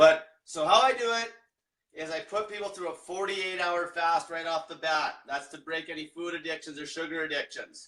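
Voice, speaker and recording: Bright and sharp in tone, the voice moves at a moderate pace with ordinary pitch variation and big swings in loudness. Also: man, high pitch for a man. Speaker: diet coach. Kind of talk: livestream explainer. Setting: livestream. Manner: casual, profane.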